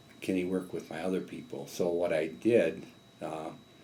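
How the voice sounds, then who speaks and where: A man's very deep, low voice, dark and mellow in tone, at a fairly slow pace with audible room echo. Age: 60s. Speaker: business owner. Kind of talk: interview. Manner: halting.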